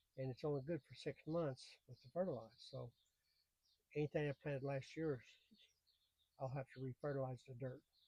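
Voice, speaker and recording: Speaking at a fairly quick pace yet with long, frequent pauses, a man with a fairly high pitch uses fairly even intonation and a relaxed tone, his dark, mellow, somewhat breathy voice showing big swings in loudness in a dry, close sound with no echo. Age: 70s. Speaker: gardening YouTuber. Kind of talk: casual gardening tutorial. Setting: greenhouse. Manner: halting, repeats words; relaxed, folksy.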